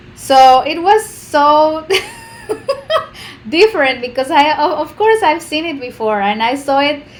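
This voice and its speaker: A woman with a Spanish accent speaks at a high pitch and a fairly slow pace, leaving long, frequent pauses. Noticeable background noise runs underneath. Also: lively intonation. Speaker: co-host and interpreter. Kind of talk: casual chat.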